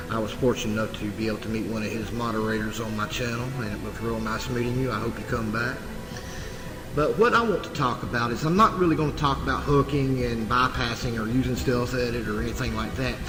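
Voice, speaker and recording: Someone with a Southern US accent talks at a very fast pace with ordinary pitch variation, with music in the background and audible room echo. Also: man. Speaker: game hacking tutorial youtuber. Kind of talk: tutorial. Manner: casual, relaxed with filler words.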